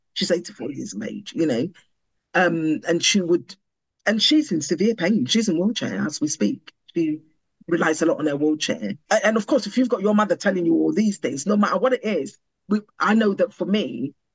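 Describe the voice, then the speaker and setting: With vocal fry and very wide pitch swings, a woman speaks at a moderate pace in a fairly low voice. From Ghana. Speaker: podcast guest, lecturer and charity trustee. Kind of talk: podcast interview.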